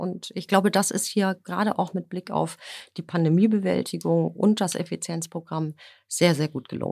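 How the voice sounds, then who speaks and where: In a very clean recording with a silent background, a woman talks at a moderate pace in a fairly low pitch, with ordinary pitch variation and vocal fry. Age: 50s. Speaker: energy company HR executive. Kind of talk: business interview. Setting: podcast studio. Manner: hesitant fillers.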